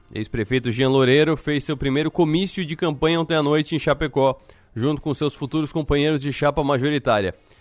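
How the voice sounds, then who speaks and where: A man with a fairly high pitch talks at a fairly quick pace in a plain, everyday voice with ordinary pitch variation. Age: 30s. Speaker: radio host. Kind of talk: radio news program.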